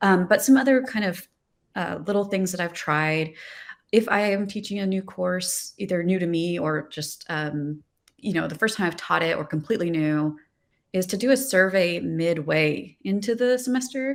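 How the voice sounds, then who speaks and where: A woman's normal speaking voice at medium pitch and moderate pace, with lively intonation, in a very clean recording with a silent background. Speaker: design professor. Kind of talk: panel discussion.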